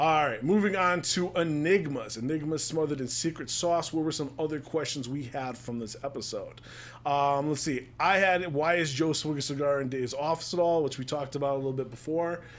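This man has a plain, everyday voice, fairly high in pitch with ordinary pitch variation. He moves at a fairly quick pace with hardly any pauses. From US East Coast. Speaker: podcast host. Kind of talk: casual chat.

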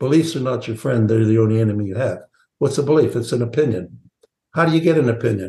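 A man talks very fast in a somewhat breathy, dark, mellow voice. His medium pitch varies in an ordinary way. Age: 70s. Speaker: sales training CEO and author. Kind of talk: podcast interview.

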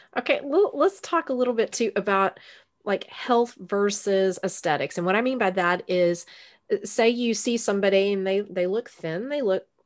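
A woman with a Texan accent talks at a moderate pace and medium pitch with ordinary variation, over a quiet background. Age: 50s. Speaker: podcast host. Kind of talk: interview. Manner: animated.

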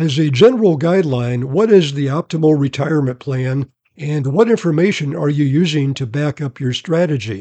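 A man speaks at a moderate pace with a fairly high pitch and a dark, mellow tone, recorded dry and close with no echo. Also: ordinary pitch variation. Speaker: podcast host, retirement specialist. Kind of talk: interview with sales pitch tone. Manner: polished, promotional.

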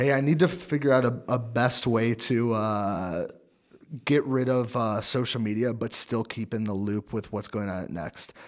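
A man with a normal speaking voice talks at a moderate pace and a medium pitch with ordinary pitch variation. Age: 20s. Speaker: church young adults director. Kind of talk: casual chat.

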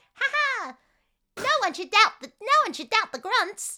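Very slow and extremely high-pitched, this put-on character voice in a New York accent swings very widely in pitch. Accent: cartoony New York. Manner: laughing, jeering.

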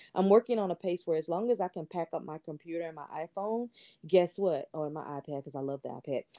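Speaking very fast with an American accent, a woman has a fairly low pitch, a dark, mellow tone, ordinary pitch variation and big swings in loudness. The sound is dry and close with no echo, over a quiet background. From Texas, Houston. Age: 40s. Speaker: entrepreneur and podcaster. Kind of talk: casual interview.

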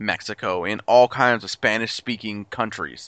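This is an unremarkable speaking voice. It moves at a fairly slow pace. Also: man. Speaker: podcast host. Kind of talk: casual chat.

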